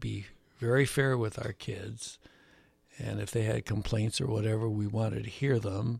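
On a very clean recording with a silent background, a man with an American accent speaks at a moderate pace. His voice is fairly low and somewhat breathy, with fairly even intonation. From US Midwest, Chicago. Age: 80s+. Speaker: retired gill netter. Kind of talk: interview, life story.

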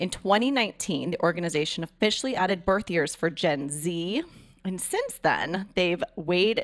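Moderate-paced speech from a woman with an ordinary speaking voice, fairly low in pitch, with ordinary pitch variation. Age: 40s. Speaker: radio host. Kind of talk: casual chat. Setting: studio.

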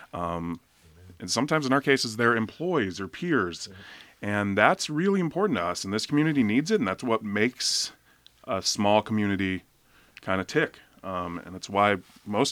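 With a normal speaking voice, the speaker talks at a fairly quick pace using lively intonation. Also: man. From Oregon coast, Seaside. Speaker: chef. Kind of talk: radio interview. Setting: studio.

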